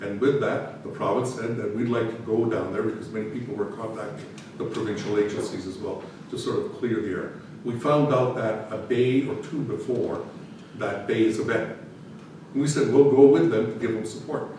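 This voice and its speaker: A man at medium pitch and moderate pace, ordinary pitch variation, audible room echo and noticeable background noise. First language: not English. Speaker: municipal administrator. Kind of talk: council meeting report. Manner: halting.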